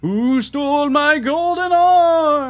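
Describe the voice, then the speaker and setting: The speaker uses a put-on character voice. It is pitched high. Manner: wailing, ghostly.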